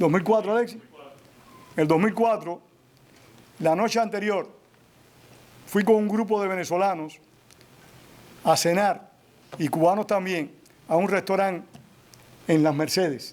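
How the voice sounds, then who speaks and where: A high-pitched man speaks fairly slowly, with ordinary pitch variation and very even loudness. He takes long, frequent pauses. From Cuba. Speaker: author and historian. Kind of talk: public Q&A at a book presentation.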